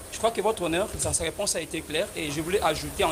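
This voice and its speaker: A man talks very fast with fairly even intonation. Noticeable background noise runs behind him. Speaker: lawyer for civil party. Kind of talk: courtroom pleading. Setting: courtroom. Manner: formal.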